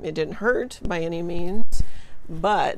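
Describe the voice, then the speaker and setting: Against light background noise, a woman speaks in a monotone, flat intonation in a dry sound with no echo. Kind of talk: casual vlog chat. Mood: reflective, lightly amused. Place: garden. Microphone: phone near.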